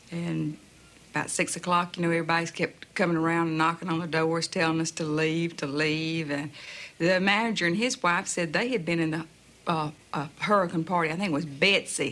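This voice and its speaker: A woman speaks with a Southern US accent at a fairly low pitch. Her pace is fairly quick and her intonation fairly even. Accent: broad southern US. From US South, Jacksonville, Florida. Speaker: hurricane survivor. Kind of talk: personal story.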